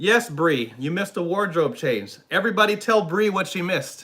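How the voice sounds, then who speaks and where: This voice is shouting, raised and projected, with an animated tone. It sounds bright and sharp, with lively intonation. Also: man. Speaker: YouTube reaction streamer. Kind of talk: live stream chat reading comments. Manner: animated, yells and squeals; sighs a lot.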